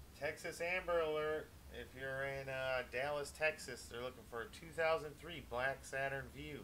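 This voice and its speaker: A man with an American accent talks in a fairly high voice at a moderate pace, with hardly any pauses. His intonation is fairly even while his loudness swings widely. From US Midwest, Wisconsin. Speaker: gaming streamer. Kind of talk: casual live-stream chat. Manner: casual, hesitant with fillers.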